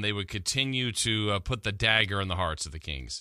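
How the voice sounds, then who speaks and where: A man with a plain, everyday voice speaks at a moderate pace with lively intonation, in a very clean recording with a silent background. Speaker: sports radio host. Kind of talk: morning sports talk radio. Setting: radio studio. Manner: conversational, rambling with fillers and self-corrections.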